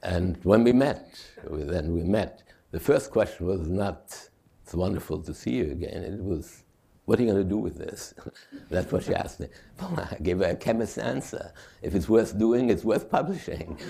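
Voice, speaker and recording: A man speaks at a moderate pace in a fairly low, somewhat breathy voice with a dark, mellow tone and lively intonation. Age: 80s+. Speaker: chemist, author and playwright. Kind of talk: lecture, personal anecdote.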